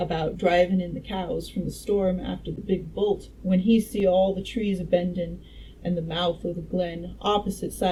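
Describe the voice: Someone does plain reading aloud, keeping the intonation fairly even.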